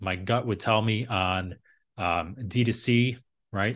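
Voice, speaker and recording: Fairly low in pitch, a man speaks with ordinary pitch variation. A quiet background lies behind him. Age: 40s. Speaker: e-commerce marketing expert. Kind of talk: interview.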